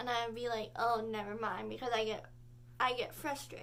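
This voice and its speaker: Her voice comes through with audible room echo. The speaker is a woman. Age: 18. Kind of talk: casual vlog talk. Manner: halting.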